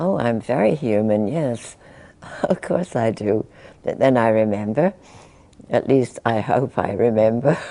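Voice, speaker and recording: Very deep and low for a woman, her voice has a dark, mellow tone and lively intonation, moving at a fairly slow pace with long, frequent pauses. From England. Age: 80s+. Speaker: spiritual teacher. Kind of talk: interview answer.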